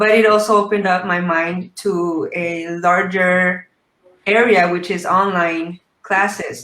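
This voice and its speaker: A woman with an American accent and an unremarkable speaking voice, medium in pitch, with fairly even intonation. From Mexico, raised in the US. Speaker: English teacher. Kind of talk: interview.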